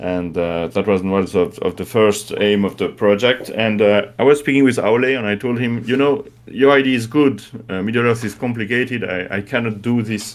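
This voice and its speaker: This man speaks at a medium pitch with a French accent. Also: ordinary pitch variation, moderate pace. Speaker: game creator. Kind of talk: interview. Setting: live stream. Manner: halting.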